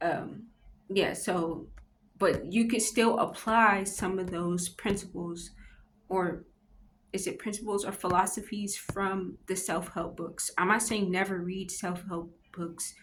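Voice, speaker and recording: A somewhat breathy woman at a medium pitch speaks fairly slowly with fairly even intonation, and audible room echo surrounds her voice. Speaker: vlogger doing a Bible devotional reading. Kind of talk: casual reflective commentary on a book. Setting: public library. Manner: halting, with self-corrections and fillers.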